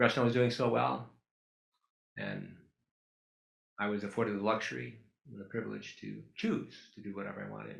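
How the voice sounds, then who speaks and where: Very wide pitch swings mark a man's fairly low voice, which carries vocal fry and moves at a fairly quick pace amid audible room echo. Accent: American. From Duluth, Minnesota, US Midwest. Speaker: photographer. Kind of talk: public talk with slides. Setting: auditorium with audience.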